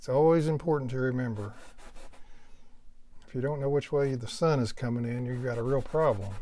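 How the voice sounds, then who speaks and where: Over audible room echo, a man with an American accent talks at a moderate pace in a relaxed, dark, mellow tone at medium pitch. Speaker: painting instructor. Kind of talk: tutorial. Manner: casual, relaxed.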